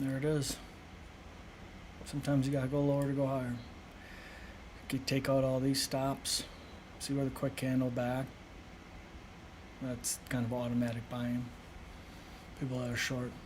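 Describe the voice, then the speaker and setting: A man at medium pitch speaks at a moderate pace in a monotone, flat delivery, somewhat breathy, with long, frequent pauses and audible room echo. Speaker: day trader streamer. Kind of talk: live trading commentary. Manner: soft-spoken; casual, filler-heavy.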